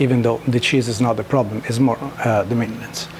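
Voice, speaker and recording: A man at medium pitch with a strong Italian accent and fairly even intonation, amid noticeable background noise. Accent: thick Italian. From Italy. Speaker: knifemaker. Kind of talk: tutorial. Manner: halting, many fillers.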